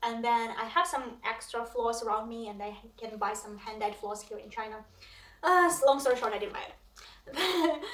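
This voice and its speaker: Amid noticeable background noise and audible room echo, a woman with a Russian accent speaks with big swings in loudness. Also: fairly high pitch for a woman, lively intonation, moderate pace. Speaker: cross stitch vlogger. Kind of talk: casual vlog chat. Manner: hesitant, many fillers.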